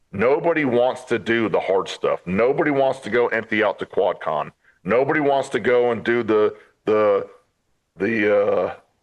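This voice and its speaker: A man with an American accent speaks at a moderate pace. He has an ordinary speaking voice, medium in pitch, with ordinary pitch variation. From upstate New York. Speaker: Marine veteran. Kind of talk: interview.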